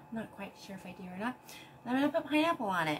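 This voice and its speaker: Over light background noise, a woman talks at a very fast pace. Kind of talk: casual vlog chat. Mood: cheerful, chatty. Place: kitchen. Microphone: camera far.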